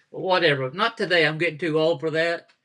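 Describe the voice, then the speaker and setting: This man has a Southern US accent and a bright, sharp tone. The background is quiet. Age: 70s. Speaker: pastor. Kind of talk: casual chat. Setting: home dining room, live stream.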